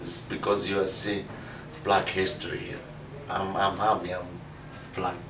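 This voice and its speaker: The speech moves at a moderate pace in a monotone, flat intonation, with long, frequent pauses. Audible room echo and noticeable background noise accompany it. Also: man. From Libya. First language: Arabic. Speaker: adult English learner. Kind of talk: classroom interview. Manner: halting, many fillers.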